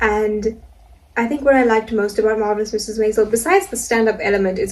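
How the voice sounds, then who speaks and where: The woman's words come out extremely fast. Clearly audible noise sits in the background. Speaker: vlogger and amateur comedian. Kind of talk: casual vlog monologue. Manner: soft-spoken; casual, filler-heavy.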